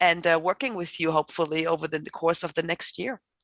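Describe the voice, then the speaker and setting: A woman with a German accent talks at a fairly quick pace in a fairly low pitch, her intonation fairly even, the sound dry and close with no echo against a quiet background. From Germany. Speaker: professor. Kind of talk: panel introduction.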